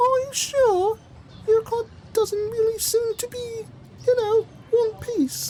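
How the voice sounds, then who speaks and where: This put-on character voice is squeaky and extremely high-pitched. It moves at a fairly slow pace with long, frequent pauses over clear background noise. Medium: read story. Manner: kind, easygoing.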